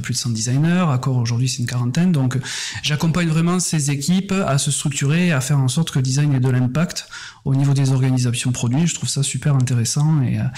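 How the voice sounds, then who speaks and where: In a Toulouse accent, a man talks very fast at medium pitch, with ordinary pitch variation. Noticeable background noise can be heard. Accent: Toulouse (southern French). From southern France, Toulouse region. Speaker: head of design, design consultant. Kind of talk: podcast interview.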